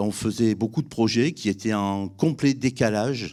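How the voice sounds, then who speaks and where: This is an ordinary speaking voice with lively intonation at a moderate pace. The recording is very clean, with a silent background. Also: man. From France, Drôme (Valence area). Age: 60s. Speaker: business owner, civil engineering. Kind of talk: testimony.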